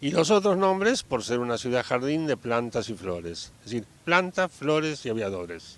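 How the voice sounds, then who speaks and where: At a moderate pace and with hardly any pauses, a man speaks in a medium pitch with very wide pitch swings. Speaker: founder's child, local resident. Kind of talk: interview. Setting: outdoors, in a town plaza.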